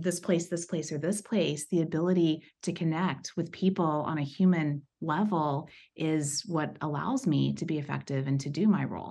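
Against a quiet background, a woman with an American accent uses an ordinary speaking voice, fairly low in pitch with ordinary pitch variation and hardly any pauses. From East Texas, US. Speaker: HR executive. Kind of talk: interview, personal story.

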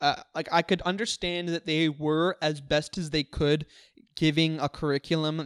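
At a moderate pace, someone speaks in a Western Canadian accent on a very clean recording with a silent background. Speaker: filmmaker and comedy venue organizer. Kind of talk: casual chat. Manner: halting.

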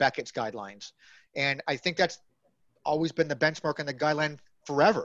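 Against a quiet background, a man speaks in a fairly high pitch. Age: 30s. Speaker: wrestling card podcast host. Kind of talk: casual chat. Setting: video call.

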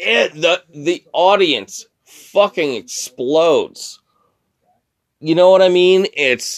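A man at a very slow pace, with a dry, close sound and no echo. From Sackville. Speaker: wrestling fan podcaster. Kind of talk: casual solo monologue. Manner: rambling with many fillers.

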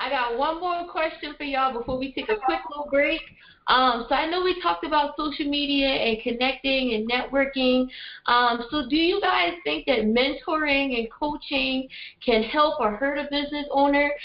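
Speaking at a moderate pace, a woman with a Southern US accent uses a high pitch and ordinary pitch variation. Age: 20s. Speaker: entrepreneur hosting a roundtable. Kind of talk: panel discussion. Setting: video call. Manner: animated.

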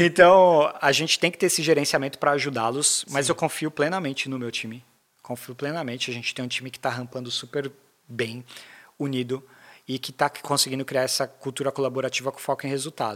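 Speaking at a fairly quick pace, a man with a plain, everyday voice and fairly high pitch shows big swings in loudness. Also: fairly even intonation. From Brazil, São Paulo (Zona Leste). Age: 30s. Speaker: sales manager. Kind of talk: casual interview.

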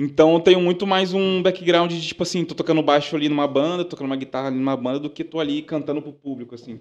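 Speaking very fast with hardly any pauses, a man uses a fairly high voice. His intonation stays fairly even while his loudness swings widely. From Baixada Fluminense, Rio de Janeiro. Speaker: musician, DJ and music producer. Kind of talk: casual chat.

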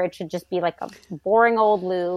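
In a plain, everyday voice, a woman with an American accent talks fairly quickly at a medium pitch with fairly even intonation. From US South, New Orleans. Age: 40s. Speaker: pelvic floor physical therapist. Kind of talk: casual interview.

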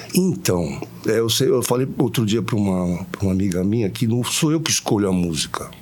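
Over noticeable background noise, a man talks at a fairly quick pace with lively intonation and very even loudness. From Santos, Brazil. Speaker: singer-songwriter. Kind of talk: interview.

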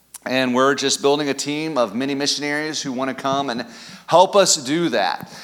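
With an American accent, a man talks at a fairly high pitch over noticeable background noise. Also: moderate pace. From US Midwest (Kansas City area). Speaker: pastor, church planter. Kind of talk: sermon. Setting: church. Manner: animated.

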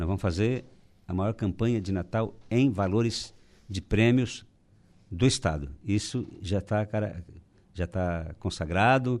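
Lively intonation marks a man's fairly slow speech, set against a quiet background. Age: 60s. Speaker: business association president. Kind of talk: radio interview. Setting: radio studio.

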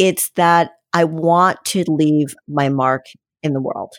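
A woman speaks with a fairly low pitch and ordinary pitch variation. She has an ordinary speaking voice. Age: 60s. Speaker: personal trainer. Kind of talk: casual chat.

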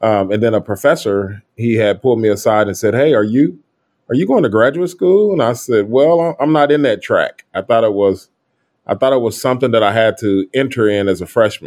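With an American accent, a man talks at a fairly quick pace in a medium pitch. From US Midwest, Kansas City, Missouri. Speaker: psychologist and education entrepreneur. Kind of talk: interview. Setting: remote call.

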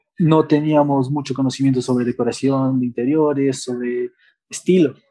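Fairly high in pitch, a man speaks in a dark, mellow tone with monotone, flat intonation. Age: 20s. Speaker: café co-founder. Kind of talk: interview testimony.

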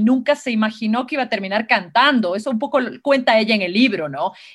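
Recorded very cleanly with a silent background, a woman speaks at a fairly high pitch with ordinary variation. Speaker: writer and film professor. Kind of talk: interview conversation. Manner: halting, repeats words.

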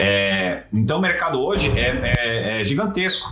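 Noticeable background noise and audible room echo fill the recording. A man speaks with lively intonation. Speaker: games industry communications professional. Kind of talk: casual interview. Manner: hesitant, many filler sounds.

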